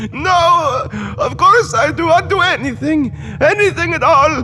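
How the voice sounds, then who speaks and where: Using a whiny, put-on character voice, a man talks at a moderate pace against clear background noise. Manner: whining, pleading.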